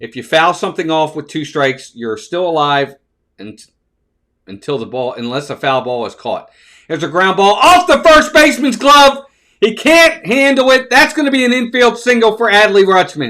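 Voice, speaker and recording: A man with an American accent speaks in a raised, projected voice at a moderate pace, his pitch high and his tone bright and sharp. Very wide pitch swings and big swings in loudness run throughout. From Baltimore, Maryland. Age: 50s. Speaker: baseball live-stream host. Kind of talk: live play-by-play commentary and chat. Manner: casual, conversational.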